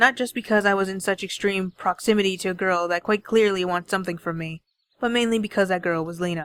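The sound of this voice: Behind an unforced reading voice, the background is quiet.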